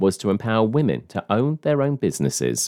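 Using very wide pitch swings, a man with a British accent and a dark, mellow tone speaks at a moderate pace, the sound dry and close with no echo against a quiet background. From United Kingdom. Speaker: podcast host. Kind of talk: news reading; interview.

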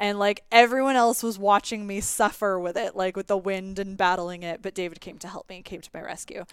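In a Canadian accent, a woman at a medium pitch talks at a fairly quick pace with hardly any pauses and big swings in loudness. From Canada. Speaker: podcast host. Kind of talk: casual chat. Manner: animated.

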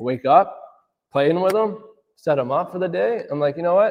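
A man with a Canadian accent talks at a fairly quick pace with ordinary pitch variation. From Windsor, Ontario, Canada. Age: 30s. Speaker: auto detailer and small business owner. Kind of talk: interview. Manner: casual, animated.

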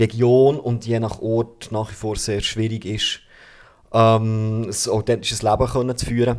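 Fairly slow, medium-pitched speech from a man. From Bernese Oberland, Switzerland. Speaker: artist. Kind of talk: casual chat. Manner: halting, repeats words.

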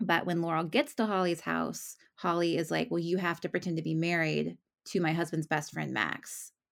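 A woman talks at a moderate pace in an ordinary speaking voice, her pitch fairly low. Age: 30s. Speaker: romance novelist. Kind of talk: casual interview.

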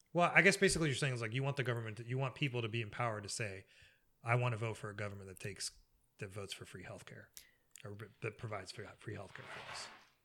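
Very fast, a man talks with a bright, sharp tone. His pitch variation is ordinary. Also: medium pitch for a man, big swings in loudness. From Egypt. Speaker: podcast guest. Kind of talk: casual chat.

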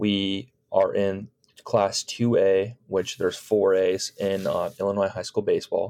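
A man speaks with a Chicago accent. His pace is fairly slow. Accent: US Midwestern (Chicago area). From Chicago suburbs, US Midwest. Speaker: high school baseball coach. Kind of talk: casual interview.

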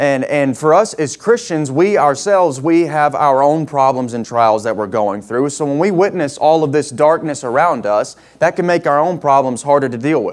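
It is an unremarkable speaking voice with lively intonation. The pace is moderate, with hardly any pauses. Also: man, fairly high pitch for a man. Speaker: guest preacher. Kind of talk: sermon. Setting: church with congregation.

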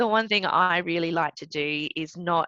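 Bright and sharp in tone, a voice with an Australian accent moves at a moderate pace with ordinary pitch variation, in a dry, close sound with no echo. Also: woman. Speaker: Olympic swimmer and lawyer. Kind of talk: interview.

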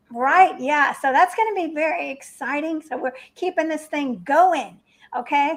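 A woman with a high voice at a moderate pace. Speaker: event host. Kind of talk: casual interview chat. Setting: online video event.

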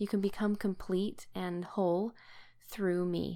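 A woman of medium pitch with an American accent. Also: very clean recording, silent background. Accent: Utah accent, noticed by locals where staying. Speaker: podcast co-host, scripture study. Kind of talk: casual scripture study discussion.

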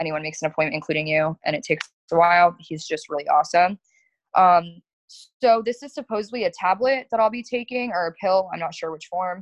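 An ordinary speaking voice carries lively intonation. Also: woman. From South Florida. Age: 20s. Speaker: florist and business owner. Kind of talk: casual chat.

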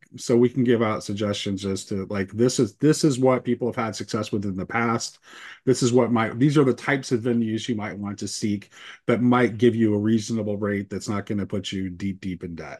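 With an ordinary speaking voice at a medium pitch, a man talks at a fairly quick pace with fairly even intonation. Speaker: conversation group organizer. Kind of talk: casual discussion.

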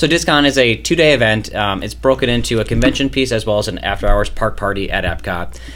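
A man talks at a very fast pace with hardly any pauses. Noticeable background noise runs under the recording. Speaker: charity staffer guest. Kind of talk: casual interview chat.

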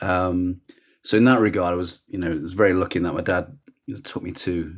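With a Lancashire accent, a man speaks at a very deep, low pitch with ordinary pitch variation. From northern England, Rochdale, Lancashire. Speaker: sports journalist and communications manager. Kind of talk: casual interview chat.

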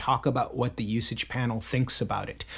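This man talks at a fairly quick pace. His voice is somewhat breathy. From Michigan. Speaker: lexicographer, podcast co-host. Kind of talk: casual chat. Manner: halting, many fillers.

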